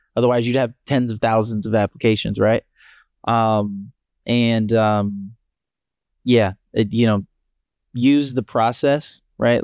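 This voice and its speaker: A man with an American accent talks at a fairly slow pace in a normal speaking voice, medium in pitch. His intonation is fairly even, and the very clean recording has a silent background and a dry, close sound with no echo. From Maryland, US. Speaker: startup founder. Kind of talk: casual interview.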